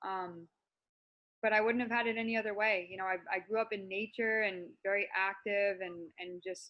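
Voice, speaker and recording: Her intonation is monotone and flat, at a medium pitch and a moderate pace. The woman speaks with an American accent. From US Northeast, Massachusetts. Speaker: natural bodybuilder and personal development coach. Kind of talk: interview.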